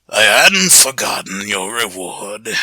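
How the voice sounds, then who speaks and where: A man puts on a raspy character voice with a fairly low pitch. He talks at a fairly slow pace. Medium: read story. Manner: measured, wise.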